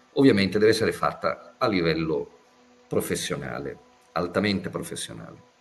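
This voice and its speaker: Music plays in the background while the man talks at a moderate pace. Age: 60s. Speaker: physicist and professor. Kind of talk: interview.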